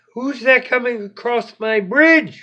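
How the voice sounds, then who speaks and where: A squeaky, put-on character voice at a fairly high pitch and fairly slow pace. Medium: read story. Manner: timid, gentle, soft-spoken.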